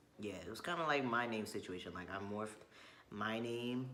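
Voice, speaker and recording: There is audible room echo around a man's bright, sharp tone. His intonation stays fairly even. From Chile. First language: Spanish. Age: 20s. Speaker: vlogger. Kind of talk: casual chat.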